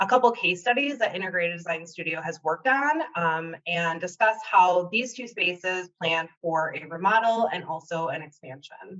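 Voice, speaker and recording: Speaking with a Wisconsin accent, a woman uses lively intonation at medium pitch and a moderate pace, with big swings in loudness. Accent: Wisconsin accent, noticeable. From Wisconsin, US Upper Midwest. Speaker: interior designer. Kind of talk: webinar presentation. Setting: online webinar.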